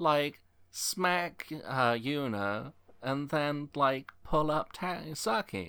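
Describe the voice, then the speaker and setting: A man with an American accent speaks very slowly at a fairly high pitch with lively intonation and a bright, sharp tone. The recording is very clean, with a silent background. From Chicago, with high school in Scotland. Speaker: podcast host. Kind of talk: casual chat.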